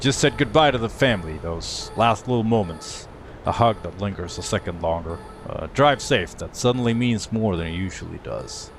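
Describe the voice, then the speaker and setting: A man talks with lively intonation. Background music accompanies him. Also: medium pitch for a man, moderate pace. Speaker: video game streamer. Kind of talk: reflective narration intro.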